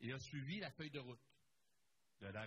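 The speaker is a man with a medium pitch and ordinary pitch variation. He talks at a moderate pace. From Quebec. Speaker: conference moderator, accountant; conference speaker. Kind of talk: conference panel presentation. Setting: conference room with live and online audience. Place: hall.

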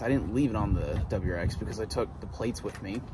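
Over noticeable background noise, a man talks with a dry sound that has no echo. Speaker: vlogger. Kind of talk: casual vlog chat. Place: street. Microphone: phone near.

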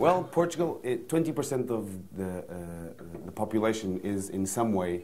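A man speaks in a dark, mellow tone with very wide pitch swings. Light background noise sits behind him. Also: fairly slow pace. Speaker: guest. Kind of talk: interview answer. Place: shop. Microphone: lapel.

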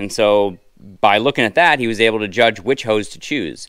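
A man is heard over a quiet background in a dry sound with no echo. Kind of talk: casual vlog explanation. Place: farm machine. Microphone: phone near.

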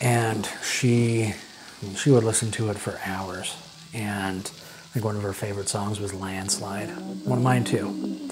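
A man talks fairly slowly while noticeable background noise goes on around him. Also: fairly low pitch for a man. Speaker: storyteller. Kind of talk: casual storytelling to camera. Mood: reflective, wistful. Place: home room. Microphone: lapel.

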